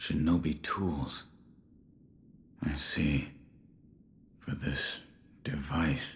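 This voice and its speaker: Using a put-on character voice, a man speaks with a very deep, low pitch and fairly even intonation. His pace is very slow, with long, frequent pauses. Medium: video game. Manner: terse, low, reserved.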